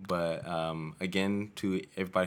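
A man talks in a very deep, low voice. His intonation stays fairly even. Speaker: podcast host. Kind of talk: casual interview chat. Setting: recording in San Diego. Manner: hesitant, stumbles over words.

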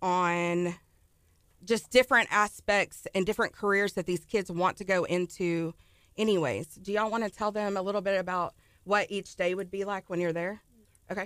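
A woman with a Texan accent talks at medium pitch and a moderate pace with fairly even intonation, recorded very clean with a silent background and a dry, close sound with no echo. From Texas, Ennis near Dallas. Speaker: elementary school teacher. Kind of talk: casual radio interview. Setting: radio studio.

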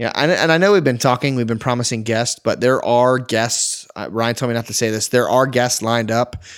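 A man at medium pitch with ordinary pitch variation, on a very clean recording with a silent background. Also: fairly quick pace, hardly any pauses. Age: 20s. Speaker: photographer and podcast co-host. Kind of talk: casual chat. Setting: recording late at night. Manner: fast, animated.

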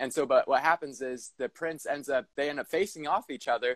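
A man with an unremarkable speaking voice, fairly quick pace and ordinary pitch variation, in a dry, close sound with no echo. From Southern California. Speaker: entrepreneur. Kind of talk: casual chat.

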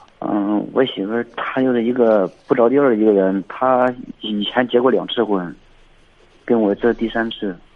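Pausing long and often, a man speaks at a moderate pace in a medium pitch with fairly even intonation. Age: 30s. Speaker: caller. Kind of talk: call-in advice talk. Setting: phone call. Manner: halting.

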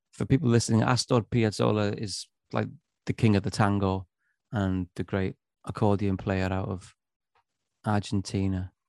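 Speaking at a moderate pace with long, frequent pauses, a man with a Welsh accent has a fairly low pitch and ordinary pitch variation on a very clean recording with a silent background. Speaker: musician. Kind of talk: casual chat.

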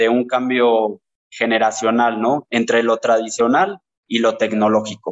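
A man with a normal speaking voice talks at a fairly slow pace. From Mexico, Teziutlán, Puebla. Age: 20s. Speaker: lime grower and marketer. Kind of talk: interview.

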